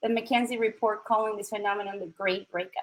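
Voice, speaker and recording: In a strong Chilean accent, a woman speaks. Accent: thick Chilean Spanish. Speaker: tech recruiter and diversity speaker. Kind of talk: talk at an online event. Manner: direct.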